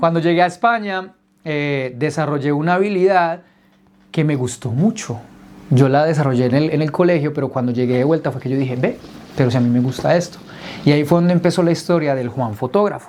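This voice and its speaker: A man speaks at a fairly quick pace with a fairly high pitch. His tone is animated, with ordinary pitch variation. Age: 30s. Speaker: entrepreneur telling his life story. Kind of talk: personal testimony told to a group.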